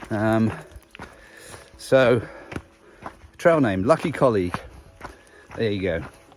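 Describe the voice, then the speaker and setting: Amid noticeable background noise, a medium-pitched man with an English accent speaks at a very slow pace with lively intonation and long, frequent pauses. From England. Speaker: long-distance hiker vlogger. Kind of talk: casual video diary. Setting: outdoors on a hiking trail. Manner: relaxed, with frequent filler words.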